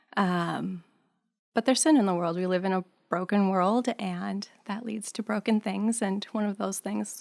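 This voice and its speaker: A woman with an American accent at medium pitch, fairly slow and with ordinary pitch variation, in a dry, close sound with no echo on a very clean recording with a silent background. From US Midwest, near Green Bay, Wisconsin. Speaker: podcast guest sharing testimony. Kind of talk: testimony.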